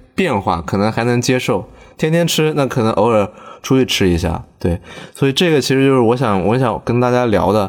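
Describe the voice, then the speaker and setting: Pitched at a medium level, this man has a plain, everyday voice with lively intonation. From southern China. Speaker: podcast host. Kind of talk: casual chat. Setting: in a car.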